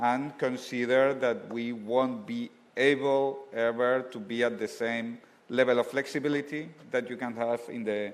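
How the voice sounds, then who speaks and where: A man speaks in a Spanish accent at a medium pitch. His pace is fairly slow and his intonation fairly even. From Spain. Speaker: science policy official. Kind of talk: panel discussion. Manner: halting.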